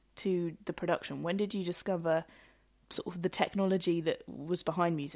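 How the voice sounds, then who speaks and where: Over a very clean recording with a silent background, a woman with an unremarkable speaking voice and fairly low pitch talks at a moderate pace with fairly even intonation. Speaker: radio show host. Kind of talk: radio interview. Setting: radio studio.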